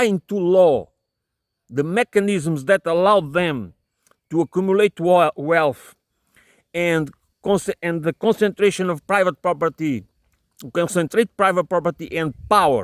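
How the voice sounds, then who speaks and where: Using a non-native accent, a man with a high voice speaks fairly slowly in a dry, close sound with no echo. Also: very clean recording, silent background. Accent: non-native English pronunciation. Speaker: political commentator. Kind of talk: solo monologue. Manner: halting, many repetitions and fillers.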